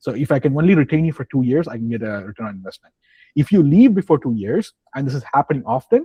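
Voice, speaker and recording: At a very fast pace, a man with a medium-pitched, dark, mellow, somewhat breathy voice speaks in a dry, close sound with no echo and a quiet background. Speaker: IT training instructor. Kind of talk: online class introductions and career advice. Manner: casual, repetitive fillers.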